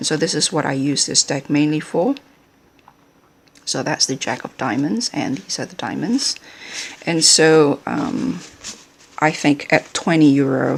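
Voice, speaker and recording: A woman with a non-native accent speaks at a fairly slow pace, her very deep, low pitch carrying lively intonation and big swings in loudness. Long, frequent pauses break her speech, and there is noticeable background noise. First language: not English. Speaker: playing card reviewer. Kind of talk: product review with reading aloud. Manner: halting, many fillers.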